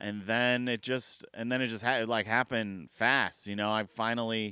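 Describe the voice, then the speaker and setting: In a very clean recording with a silent background, a man speaks with an American accent at a moderate pace and medium pitch. His tone is bright and sharp, and his intonation is monotone and flat. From US Midwest. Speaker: comedian. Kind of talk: casual chat.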